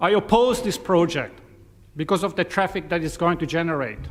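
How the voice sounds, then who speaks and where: A man speaks with a non-native accent at a high pitch. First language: not English. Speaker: submitter at public hearing. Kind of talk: prepared statement.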